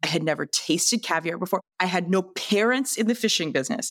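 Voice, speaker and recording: With a Canadian accent, a woman talks at a very fast pace with lively intonation, recorded with a dry, close sound and no echo. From western Canada. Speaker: entrepreneur and TV investor. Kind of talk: casual interview. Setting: podcast studio.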